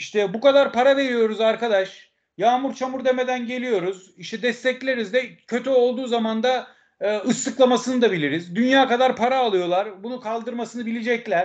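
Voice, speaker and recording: A man's extremely high-pitched voice at a moderate pace, with fairly even intonation. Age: 50s. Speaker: football fan commentator and author. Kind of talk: casual interview.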